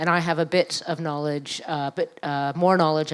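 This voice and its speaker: With an American accent, a woman speaks in a very deep, low pitch and a monotone, flat intonation. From New York. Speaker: activist and scholar. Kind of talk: public panel conversation.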